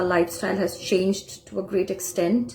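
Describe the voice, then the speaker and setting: A woman with a Bengali accent talks at a moderate pace over noticeable background noise. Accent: Indian (Bengali) English. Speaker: spiritual teacher. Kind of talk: lecture. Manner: halting, frequent uh fillers.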